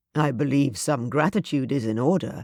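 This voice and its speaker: A man uses a put-on character voice, growling at a fairly high pitch with ordinary pitch variation and a moderate pace. The recording is very clean with a silent background, and the sound is dry and close with no echo. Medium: read story. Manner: mild, assured, commanding.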